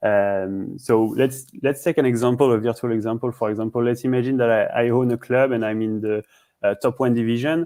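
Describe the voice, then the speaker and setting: With a French accent, a man speaks at a fairly quick pace in a medium pitch with fairly even intonation, on a very clean recording with a silent background and a dry, close sound with no echo. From France, Paris. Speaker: startup CEO. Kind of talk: interview. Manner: halting, many fillers and repeats.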